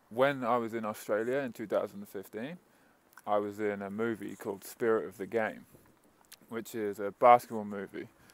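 A man's fairly low voice carries fairly even intonation, the sound dry with no echo. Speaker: vlogger, coach. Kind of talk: casual vlog chat. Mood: relaxed, storytelling. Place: street. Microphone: earbuds.

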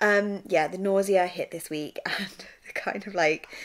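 A woman talks with an English accent. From England. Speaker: vlogger. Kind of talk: personal vlog. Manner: low-energy. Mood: candid, slightly frazzled, humorous. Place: home room. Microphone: phone near.

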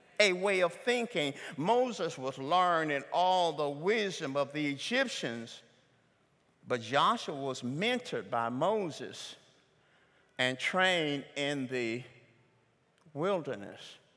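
At a very slow pace with long, frequent pauses, a man with a Southern US accent speaks in a fairly high, bright, sharp voice that swings very widely in pitch. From US South. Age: 60s. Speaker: pastor. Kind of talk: sermon. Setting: church. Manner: animated. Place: church. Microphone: headset.

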